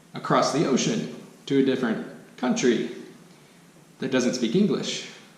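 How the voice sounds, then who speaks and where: A man with an American accent speaks at a moderate pace in a medium pitch, his voice swinging very widely in pitch, with audible room echo and noticeable background noise. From United States. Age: 20s. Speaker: expat vlogger. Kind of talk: casual vlog monologue. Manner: hesitant, many fillers.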